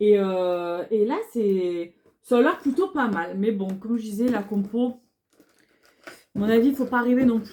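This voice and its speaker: A dark, mellow tone in a southern French accent, fairly slow, with ordinary pitch variation and big swings in loudness. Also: woman, fairly high pitch for a woman. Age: 30s. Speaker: beauty vlogger. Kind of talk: casual haul video talk. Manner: hesitant, many fillers.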